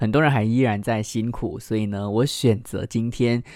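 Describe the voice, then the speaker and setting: A man at a moderate pace, in a very clean recording with a silent background. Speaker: radio host presenting children's picture books. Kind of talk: radio talk reviewing children's books. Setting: studio. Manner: subdued, less lively than usual.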